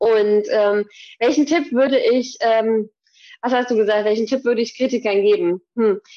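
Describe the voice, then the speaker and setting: A woman with a normal speaking voice, fairly high in pitch, talks at a moderate pace with ordinary pitch variation. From Hesse, Germany (near Gießen). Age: 30s. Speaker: fitness trainer. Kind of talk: casual interview.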